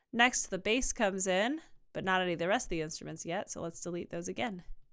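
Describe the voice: A woman speaks at medium pitch with ordinary pitch variation on a very clean recording with a silent background.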